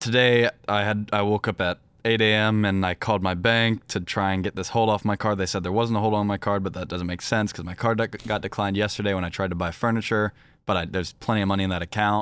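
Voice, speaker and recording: A man with an American accent speaks at a very fast pace and a fairly low pitch in a monotone, flat way. The recording is very clean with a silent background, and the sound is dry and close with no echo. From Virginia, US. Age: young. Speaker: professional esports player. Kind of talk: casual chat.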